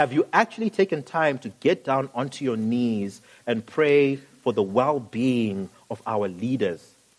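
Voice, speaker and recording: At a fairly slow pace and with hardly any pauses, a man talks in an ordinary speaking voice at a medium pitch, his intonation lively. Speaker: pastor, sermon preacher. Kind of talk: sermon delivered to a congregation.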